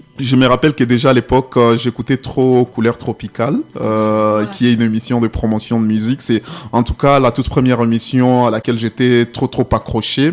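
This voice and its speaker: Here a man talks at a medium pitch. His pace is fairly quick and his intonation fairly even. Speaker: media personality and humanitarian communications officer. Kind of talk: radio interview. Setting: radio studio.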